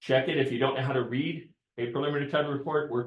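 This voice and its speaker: A man's voice, fairly high-pitched. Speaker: real estate broker leading team meeting. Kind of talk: training talk at team meeting. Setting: office meeting room with Zoom participants. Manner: loud.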